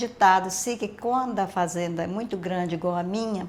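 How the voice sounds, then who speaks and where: In an unremarkable speaking voice, a woman of medium pitch talks at a moderate pace with fairly even intonation. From Minas Gerais, Brazil. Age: 60s. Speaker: retired hairdresser. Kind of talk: interview.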